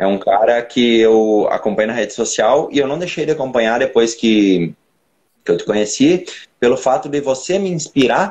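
A man's medium-pitched, unremarkable speaking voice at a moderate pace, with lively intonation. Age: 20s. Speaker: personal trainer and bodybuilder. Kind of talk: casual chat.

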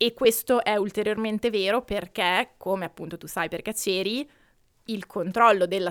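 On a very clean recording with a silent background, a woman talks at a moderate pace with ordinary pitch variation in an unremarkable speaking voice. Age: 20s. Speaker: researcher and podcast co-host. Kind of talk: personal testimony.

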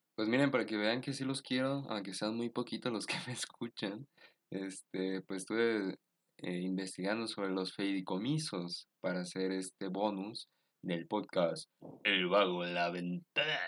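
With a Mexican accent, a man speaks at a fairly slow pace and fairly low pitch, with ordinary pitch variation and a dry, close sound with no echo. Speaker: podcast host. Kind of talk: solo commentary podcast. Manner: casual, hesitant with fillers.

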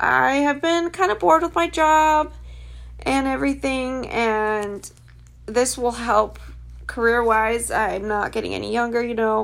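This woman has an ordinary speaking voice with a fairly high pitch. She speaks at a fairly slow pace with lively intonation. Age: 20s. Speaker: podcast host. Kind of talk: casual monologue. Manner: casual, rambling with fillers.

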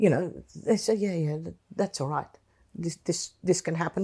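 A woman's fairly low, dark and mellow voice with vocal fry at a moderate pace, very clean recording, silent background. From England. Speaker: retired politician. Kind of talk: interview. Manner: halting.

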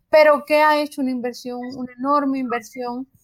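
Her voice high, a woman talks with fairly even intonation. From Cuba, provincial city. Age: 50s. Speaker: journalist and academic. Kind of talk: interview.

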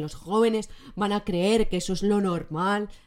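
Animated and clear on a very clean recording with a silent background, a woman speaks at a medium pitch and moderate pace with ordinary pitch variation. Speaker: podcast host. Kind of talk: casual solo monologue. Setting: recorded on camera. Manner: animated, laughing often.

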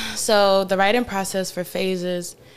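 A woman with a North Carolina accent speaks at a fairly quick pace. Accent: Southern US, North Carolina. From eastern North Carolina, Farmville. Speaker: singer. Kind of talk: casual interview.

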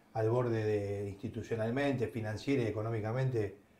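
Noticeable background noise runs under a man speaking at a moderate pace. His pitch is medium and his intonation fairly even. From Argentina, Avellaneda (Buenos Aires). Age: 50s. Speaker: former football club director. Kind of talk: casual chat.

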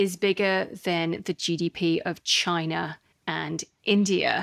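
Speaking in a slight Australian accent, a woman has a medium pitch. The recording is very clean with a silent background, and the sound is dry and close with no echo. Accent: slight Australian twang. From Australia, Sydney. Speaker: podcast host and investor. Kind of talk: monologue audio journal.

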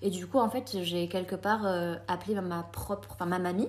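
A woman's somewhat breathy voice, fairly low in pitch, with ordinary pitch variation. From France (came from Colombia at age 3). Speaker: podcast guest. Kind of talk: casual chat.

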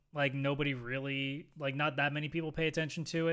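A plain, everyday voice moves at a fairly quick pace. The recording is very clean, the background silent. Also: man. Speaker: gaming podcast co-host. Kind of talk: casual chat.

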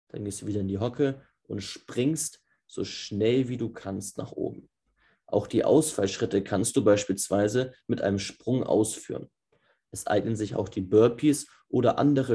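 With ordinary variation in pitch, a man's voice comes across somewhat breathy and dark and mellow in tone. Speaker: football podcast host. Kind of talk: tutorial. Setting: remote recording via Zoom.

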